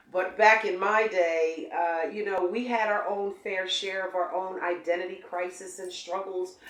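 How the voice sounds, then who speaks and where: Background noise is noticeable as a woman talks at a fairly slow pace with hardly any pauses. Her intonation stays monotone and flat. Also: medium pitch for a woman. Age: 60s. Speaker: interviewer, journalist. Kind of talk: interview. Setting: studio.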